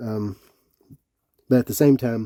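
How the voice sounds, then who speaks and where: With a Tennessee accent and a dark, mellow tone, a man speaks at a moderate pace and medium pitch in a dry, close sound with no echo. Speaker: Bible reviewer. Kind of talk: product review. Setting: indoors, cold room with electric heat. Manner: casual, some hesitations.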